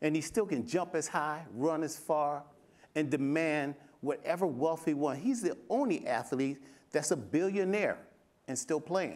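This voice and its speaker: Fairly high for a man, this unremarkable speaking voice moves with ordinary pitch variation. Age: 60s. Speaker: fitness coach and former bodybuilder. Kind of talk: panel discussion.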